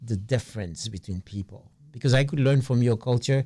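Somewhat breathy, a man with an American accent speaks at a medium pitch and moderate pace with ordinary pitch variation. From US Northeast, Brooklyn, New York. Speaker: artist. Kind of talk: radio interview.

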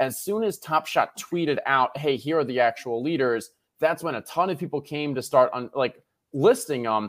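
A man talks in an animated tone with lively intonation at a fairly high pitch. His pace is moderate. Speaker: podcast co-host. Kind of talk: casual chat. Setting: video call.

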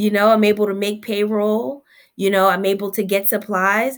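A woman with an American accent speaks at a moderate pace. Her fairly high pitch carries an energetic tone. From Newark, New Jersey. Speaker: pediatric dentist, business owner. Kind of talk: interview.

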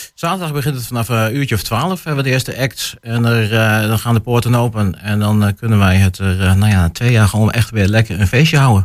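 A man with a medium pitch speaks at a very fast pace, with hardly any pauses and ordinary pitch variation. The recording is very clean, with a silent background. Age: 20s. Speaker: festival organizer. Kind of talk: radio interview. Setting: radio studio. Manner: hesitant, many filler sounds.

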